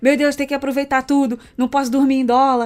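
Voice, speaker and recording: A woman talks at a fairly quick pace in a high pitch. Her intonation is monotone and flat, with music in the background. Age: 30s. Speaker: podcast co-host, travel business owner. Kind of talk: casual chat.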